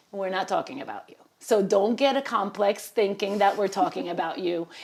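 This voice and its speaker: A woman with a Spanish accent at a fairly quick pace, amid noticeable background noise. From Puerto Rico. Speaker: Spanish teacher. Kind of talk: interview answer.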